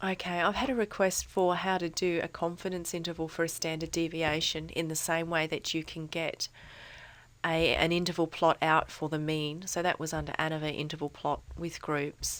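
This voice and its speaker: With monotone, flat intonation, a woman speaks at a fairly low pitch. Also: moderate pace. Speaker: statistics tutor. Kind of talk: software tutorial narration. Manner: casual, hesitant.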